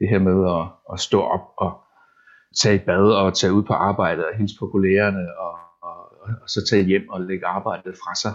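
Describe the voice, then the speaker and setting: A man's fairly low voice moves at a moderate speed, its intonation monotone and flat. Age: 40s. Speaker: web developer. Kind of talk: casual interview. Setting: at home. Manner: halting, repeats words.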